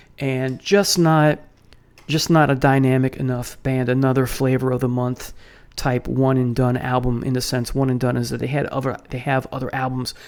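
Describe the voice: A man speaks at medium pitch and a moderate pace, his slightly mellow tone showing little pitch movement.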